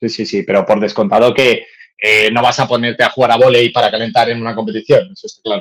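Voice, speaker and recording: A man talks at a very fast pace in a medium pitch. His loudness swings widely. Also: ordinary pitch variation. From Madrid. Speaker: fencing coach and podcast co-host. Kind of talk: casual chat.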